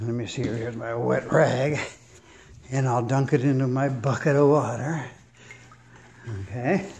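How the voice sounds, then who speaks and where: A man speaks at a medium pitch with ordinary pitch variation and a relaxed tone, going at a fairly slow pace with long, frequent pauses, and audible room echo. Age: 70s. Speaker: DIY home renovator, airplane mechanic. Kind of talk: casual tutorial. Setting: at home, laying tile in a room. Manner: relaxed, halting with fillers.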